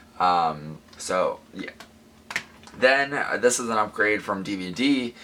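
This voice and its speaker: Noticeable background noise sits behind a man with an American accent. His pitch variation is ordinary. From US Midwest, near St. Louis. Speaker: collector YouTuber. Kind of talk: collection show-and-tell video. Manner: casual, hesitant with many ums.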